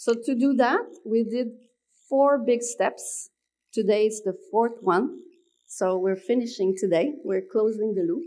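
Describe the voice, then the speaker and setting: A high-pitched woman with a French accent and a dark, mellow tone, at a moderate pace with ordinary pitch variation, in a very clean recording with a silent background. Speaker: researcher. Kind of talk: conference presentation. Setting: conference at city hall.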